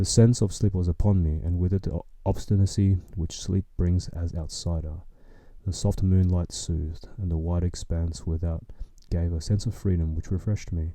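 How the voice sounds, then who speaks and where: At a moderate pace, a man with a very deep, low pitch speaks in a calm, dark, mellow tone, somewhat breathy and with fairly even intonation, on a very clean recording with a silent background. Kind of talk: sleep story reading. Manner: soft, calm.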